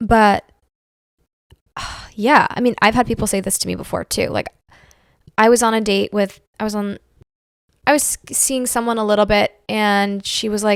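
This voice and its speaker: In a very clean recording with a silent background, a woman speaks quietly at a fairly high pitch and moderate pace, flat and monotone, with long, frequent pauses and a dry, close sound with no echo. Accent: American. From Pittsburgh, US. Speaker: stand-up comedian. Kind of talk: casual chat.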